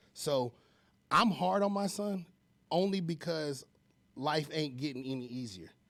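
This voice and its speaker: A loud man speaks with a passionate tone and very wide pitch swings at a fairly high pitch. He moves at a fairly slow pace, leaving long, frequent pauses. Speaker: home loan expert. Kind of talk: casual chat.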